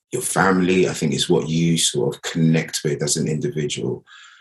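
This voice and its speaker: A man speaks with a British accent, his very deep, low voice showing vocal fry. He keeps a moderate pace. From Nigeria, then Greece, raised in UK. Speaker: actor. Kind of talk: interview.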